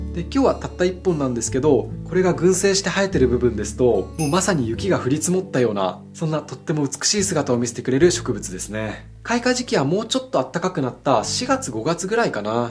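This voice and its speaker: With music in the background, a man talks very fast at a fairly high pitch, making very wide pitch swings and hardly any pauses. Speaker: ikebana artist. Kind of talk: flower arranging tutorial talk to camera. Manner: friendly, explanatory.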